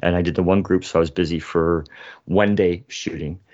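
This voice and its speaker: This man's pitch is very deep and low, with fairly even intonation. He speaks with a Canadian accent. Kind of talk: casual chat.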